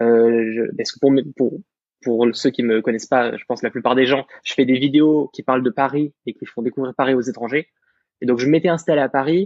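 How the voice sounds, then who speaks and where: This man has an ordinary speaking voice, talking at a fairly quick pace with fairly even intonation. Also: medium pitch for a man. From France. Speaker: content creator. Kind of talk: podcast conversation.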